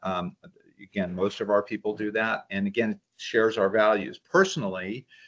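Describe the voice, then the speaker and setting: Over a quiet background, a man talks at a moderate pace. His intonation stays fairly even. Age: 60s. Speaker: nonprofit executive director. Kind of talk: interview. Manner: halting, many fillers.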